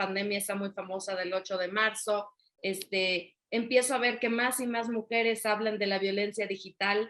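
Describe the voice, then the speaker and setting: A woman at a moderate pace, with a Yucatecan accent. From Mexico, Yucatán (Mérida). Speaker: author and women's coach. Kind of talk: interview.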